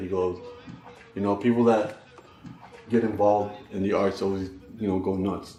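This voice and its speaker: A man's fast, monotone, flat delivery at fairly low pitch, with audible room echo and music in the background. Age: 30s. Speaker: rapper and spoken-word artist. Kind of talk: documentary interview.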